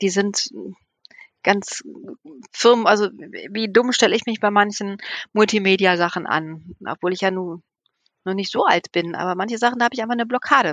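A woman's medium-pitched voice at a moderate pace, with ordinary pitch variation and long, frequent pauses. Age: 50s. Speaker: nun and children's village mother. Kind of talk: casual chat.

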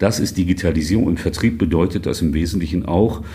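A very fast delivery in a dark, mellow, somewhat breathy tone. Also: man. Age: 50s. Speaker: interim manager and author. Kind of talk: interview. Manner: casual, conversational.

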